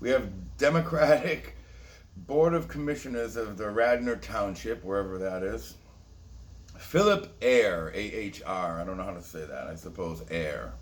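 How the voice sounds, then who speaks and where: An animated man's voice, fairly low in pitch, with very wide pitch swings, big swings in loudness, a moderate pace and audible room echo. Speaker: conspiracy video host. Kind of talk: casual monologue commentary.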